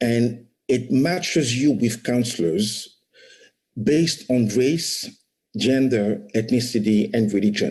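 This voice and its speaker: With a non-native accent, a man of medium pitch speaks at a very slow pace with ordinary pitch variation, and room echo is audible. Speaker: startup founder. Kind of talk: conference talk. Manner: frequent repetitions and fillers.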